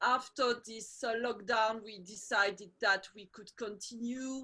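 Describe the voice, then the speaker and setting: Over a quiet background, a woman with a French accent speaks in a high pitch with a bright, sharp tone. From Belgium and Portugal. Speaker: women's circle facilitator. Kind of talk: online video call conversation. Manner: halting, many fillers.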